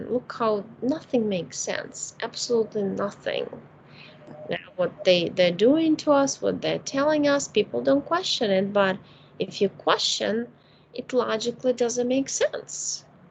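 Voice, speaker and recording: A woman speaks at a fairly slow pace. Noticeable background noise can be heard. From Ukraine. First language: Russian or Ukrainian. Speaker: spiritual healer. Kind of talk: casual chat. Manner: gentle.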